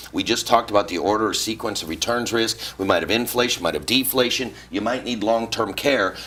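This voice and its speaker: A man talks at a fairly quick pace with hardly any pauses, over noticeable background noise. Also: medium pitch for a man, ordinary pitch variation. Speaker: retirement planning author. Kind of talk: interview. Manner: fast; animated.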